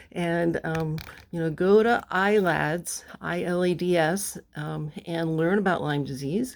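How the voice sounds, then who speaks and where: A woman speaks in a normal speaking voice at a fairly low pitch. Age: 60s. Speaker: sailing vlogger, boat owner. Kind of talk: casual vlog to camera. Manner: informal, conversational with fillers.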